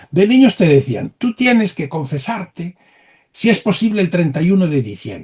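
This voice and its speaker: Speaking with lively intonation, a man with a high pitch has a dark, mellow tone. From Galicia, Spain (Santiago de Compostela). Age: 70s. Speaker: historian. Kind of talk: interview. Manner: animated.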